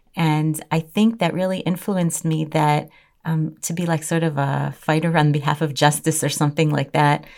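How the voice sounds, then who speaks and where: A woman with a Chicago accent speaks at a moderate pace in a very deep, low voice, her intonation fairly even. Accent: American, Chicago. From US Midwest, Chicago. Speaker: Torah teacher and legal advisor. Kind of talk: interview.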